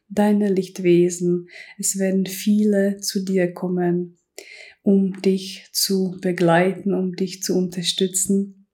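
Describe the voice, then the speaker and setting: A woman's soothing, calm voice with a dark, mellow tone, medium pitch, monotone, flat intonation and a very slow pace, on a very clean recording with a silent background. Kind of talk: guided meditation. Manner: slow, soft and soothing, calm; gentle second-person address, with pauses.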